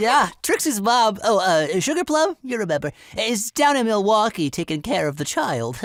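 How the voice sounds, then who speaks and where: A man does a put-on character voice, high in pitch and at a moderate pace. The recording is very clean, with a silent background. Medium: comedy sketch.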